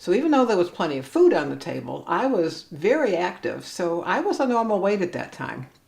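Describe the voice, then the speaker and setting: A woman with a Cleveland accent, very wide pitch swings, and a moderate pace, over noticeable background noise. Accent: Inland Northern American (Cleveland). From US Midwest, Cleveland, Ohio. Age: 60s. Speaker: vlogger. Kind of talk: personal vlog monologue.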